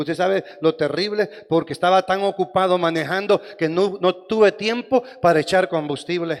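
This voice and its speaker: The speaker is a man. He keeps a fairly even intonation. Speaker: pastor. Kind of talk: sermon.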